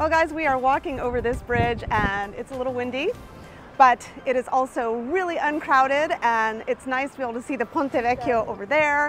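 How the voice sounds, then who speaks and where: A woman speaks at a moderate pace in a high pitch with ordinary pitch variation. The sound is dry with no echo, and faint music plays in the background. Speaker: travel vlogger. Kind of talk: casual vlog chat. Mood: cheerful, enthusiastic. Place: street. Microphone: phone near.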